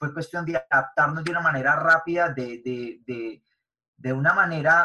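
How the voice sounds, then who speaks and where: This man's pitch is fairly high. His tone is bright and sharp. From Medellín, Colombia. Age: 20s. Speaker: network marketing entrepreneur and youth influencer. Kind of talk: interview.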